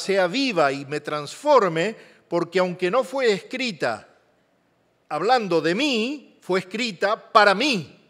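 Using lively intonation, a man with a high pitch talks at a very slow pace. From Argentina. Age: 60s. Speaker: guest preacher, journalist. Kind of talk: sermon. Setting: church service, also streamed online.

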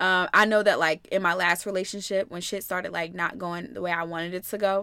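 A woman's bright, sharp voice with an American accent, medium pitch, fairly even intonation and a fairly quick pace, on a very clean recording with a silent background. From Ohio, US Midwest. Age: 20s. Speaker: podcast co-host. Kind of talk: casual chat.

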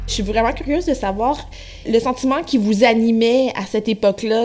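This woman talks at a moderate pace, her fairly high pitch showing ordinary variation. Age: 30s. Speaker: radio producer, interviewer. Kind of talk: interview. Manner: hesitant, many fillers.

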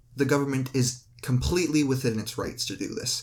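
A man's somewhat breathy voice at a medium pitch and moderate pace. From Canada. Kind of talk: casual debate.

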